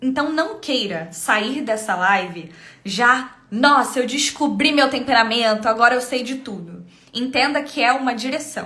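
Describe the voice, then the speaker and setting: A woman's high voice at a moderate pace, with noticeable background noise. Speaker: temperament coach and live streamer. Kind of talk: live stream teaching. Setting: live stream.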